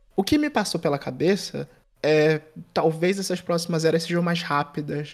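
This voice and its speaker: Very clean with a silent background, this recording has a man with an unremarkable speaking voice, fairly high in pitch, keeping his intonation fairly even. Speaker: podcast host. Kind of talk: casual chat.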